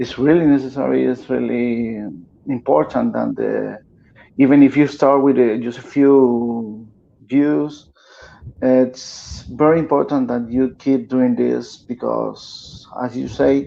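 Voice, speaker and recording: Words come at a very slow pace in a non-native accent. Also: man. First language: Spanish. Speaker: guest activist. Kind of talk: interview conversation. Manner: halting.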